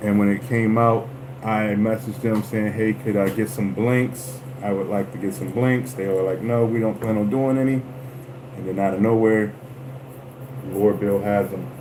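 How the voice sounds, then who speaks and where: A man at a fairly low pitch with ordinary pitch variation and a moderate pace, amid noticeable background noise and audible room echo. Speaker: lure painter livestreamer. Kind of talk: livestream craft tutorial. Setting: livestream.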